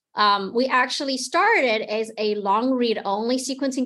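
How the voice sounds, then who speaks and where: A woman with a Taiwanese accent against a quiet background. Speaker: genomics company product manager. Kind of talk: interview.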